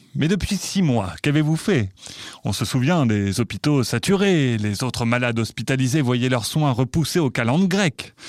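Recorded very cleanly over a silent background, a man speaks in a normal speaking voice. His medium pitch comes at a moderate pace. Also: lively intonation. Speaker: sketch journalist interviewer. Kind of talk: satirical mock interview.

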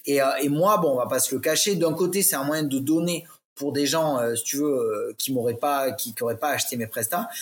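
At a moderate pace, a man talks. His pitch sits fairly high. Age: 30s. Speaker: LinkedIn ghostwriter. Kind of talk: casual interview chat. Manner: hesitant, many fillers.

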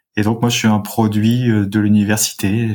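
A man's somewhat breathy voice at a fairly low pitch with monotone, flat intonation. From France, Rhône-Alpes (Saint-Étienne suburbs). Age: 30s. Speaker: local government climate strategy director. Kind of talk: interview.

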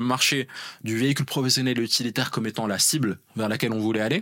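With a bright, sharp tone, a man speaks at a very fast pace. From Morocco (Rabat). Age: 30s. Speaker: engineer and startup founder. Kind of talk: interview. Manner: hesitant with fillers.

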